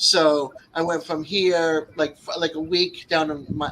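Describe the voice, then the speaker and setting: Speaking at a fairly slow pace, a man with a Northeastern US accent uses a fairly high pitch and monotone, flat intonation. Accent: Northeast US accent, often taken for New York. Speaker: Vietnam veteran. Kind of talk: casual chat.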